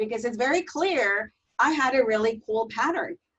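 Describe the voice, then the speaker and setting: This woman has a high-pitched voice and a Spanish accent. Her intonation is lively. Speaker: teacher trainer. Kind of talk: webinar presentation.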